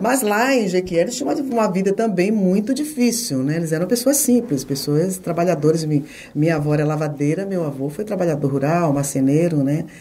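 A woman with a fairly low pitch makes very wide pitch swings, heard with audible room echo and noticeable background noise. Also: moderate pace. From Bahia, Brazil (Itabuna). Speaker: TV journalist. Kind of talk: interview conversation.

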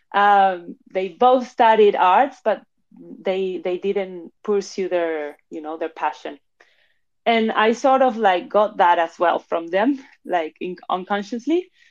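A woman's medium-pitched voice with a Spanish accent, very slow and lively in intonation, over a quiet background. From Spain (Madrid), born in Argentina. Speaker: NFT platform founder and curator. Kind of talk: casual chat. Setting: live audio room.

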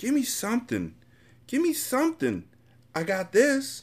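In a very clean recording with a silent background, a man does a put-on character voice at an extremely high pitch, speaking fairly slowly with very wide pitch swings.

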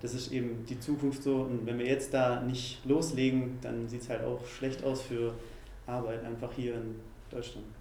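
A man at a moderate pace with monotone, flat intonation, noticeable background noise and audible room echo. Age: 20s. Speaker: youth political group spokesperson. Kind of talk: interview.

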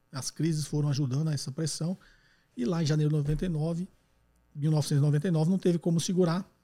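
An unremarkable speaking voice moves at a moderate pace with fairly even intonation. The sound is dry and close, with no echo. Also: man, fairly high pitch for a man. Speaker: economics podcast host answering listener questions. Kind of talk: call-in Q&A explanation. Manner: conversational, frequent tag questions.

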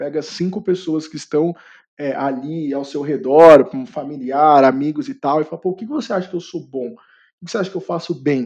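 Fairly high-pitched male voice at a moderate pace with ordinary pitch variation. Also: quiet background. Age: 20s. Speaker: career content creator and product manager. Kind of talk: podcast interview. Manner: hesitant with fillers.

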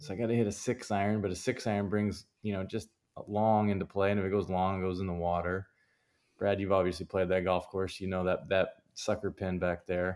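A man's fairly low voice with a Canadian accent, flat monotone intonation and a fairly quick pace, on a very clean recording with a silent background. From Canada. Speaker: professional golfer. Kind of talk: interview.

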